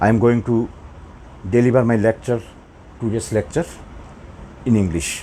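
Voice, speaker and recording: A man speaks with a Bengali accent and ordinary pitch variation. Light background noise is audible. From Bangladesh or West Bengal. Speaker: math teacher. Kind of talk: lecture. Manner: slow. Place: classroom. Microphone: lapel.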